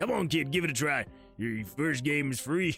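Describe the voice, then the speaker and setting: Clear music plays behind a man doing a put-on character voice at a fairly high pitch and a moderate pace. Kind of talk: street, smooth pitch. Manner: shady, coaxing, salesy.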